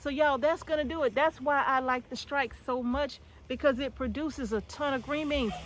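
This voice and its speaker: Loud speech at a fairly quick pace. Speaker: homesteading gardener vlogger. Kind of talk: casual gardening tutorial vlog. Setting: outdoors in a garden.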